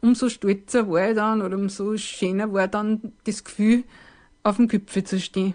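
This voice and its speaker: A woman with a fairly high pitch speaks at a moderate pace in a flat, monotone delivery, her tone dark and mellow against a quiet background. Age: 50s. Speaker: hiker sharing personal story. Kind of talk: personal testimony.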